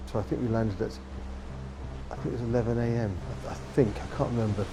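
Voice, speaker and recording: Speech comes at a fairly quick pace over music in the background, with audible room echo. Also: man. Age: 60s. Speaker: war veteran. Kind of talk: interview testimony.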